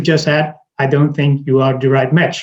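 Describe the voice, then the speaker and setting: Somewhat breathy, the speech comes at a moderate pace with a Dutch accent. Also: man. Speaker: recruiter. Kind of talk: interview. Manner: halting, many repetitions and fillers.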